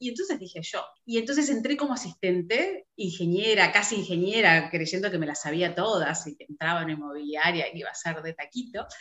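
Delivered at a fairly quick pace in a Rioplatense accent, the voice swings very widely in pitch. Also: woman. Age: 50s. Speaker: real estate broker. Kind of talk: interview conversation. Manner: halting with frequent repetitions.

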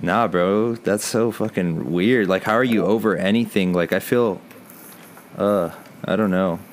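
A man with an American accent and an unremarkable speaking voice talks at a fairly slow pace and fairly low pitch, with fairly even intonation and very even loudness. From Texas, San Antonio. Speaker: podcast co-host. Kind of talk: casual chat.

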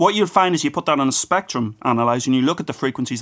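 Speaking at a very fast pace, a man with an Irish accent shows ordinary pitch variation. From Ireland. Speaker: physics professor and author. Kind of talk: casual interview.

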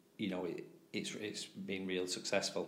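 A man with a Greater Manchester accent speaks at a very deep, low pitch. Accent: northern English (Oldham). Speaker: teacher and tutoring business owner. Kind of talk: casual interview. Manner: halting, many fillers.

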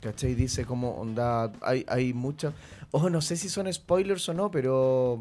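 Slowish and dark-toned, a man speaks at a medium pitch with a mellow quality. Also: lively intonation. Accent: Chilean. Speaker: podcast host. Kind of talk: casual chat.

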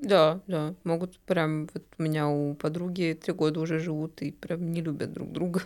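A woman speaks at a moderate pace with hardly any pauses. Her fairly low voice has a monotone, flat intonation. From Bashkortostan, Russia. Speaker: marketer, club member. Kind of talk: casual chat. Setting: studio.

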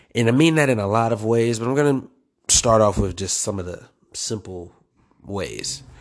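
A man with an unremarkable speaking voice, medium in pitch, with lively intonation at a moderate pace. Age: 20s. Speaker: podcast host. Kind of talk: personal monologue. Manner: casual, conversational.

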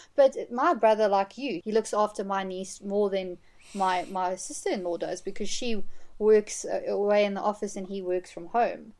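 A woman talks at a moderate pace with a medium pitch and ordinary pitch variation. Hers is a normal speaking voice, with big swings in loudness. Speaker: film fan guest. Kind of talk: casual chat.

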